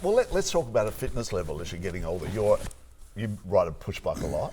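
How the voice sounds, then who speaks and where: A man's very fast speech with an Australian accent. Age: old. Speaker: podcast host. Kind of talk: casual chat.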